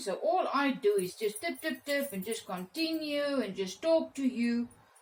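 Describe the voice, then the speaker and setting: With a South African accent, the speaker talks fairly slowly with very wide pitch swings. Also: woman. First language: Afrikaans. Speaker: art teacher. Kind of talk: tutorial. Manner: halting.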